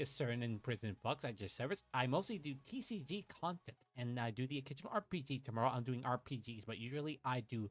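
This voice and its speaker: A man talks at a very fast pace with hardly any pauses, his medium-pitched voice somewhat breathy. His intonation is lively. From Puerto Rico. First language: Spanish. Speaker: VTuber card game streamer. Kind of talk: casual gameplay livestream chat. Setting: livestream. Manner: animated.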